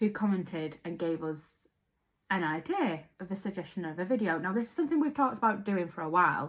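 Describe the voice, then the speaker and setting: Her intonation is lively and her voice somewhat breathy. The woman talks fairly quickly. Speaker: podcast co-host. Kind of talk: casual chat.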